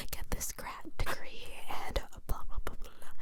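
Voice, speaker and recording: Whispering amid noticeable background noise. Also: woman. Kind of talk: ASMR whispered ramble with personal attention. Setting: studio, close microphone recording. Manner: whispered, soft-spoken, casual chatty.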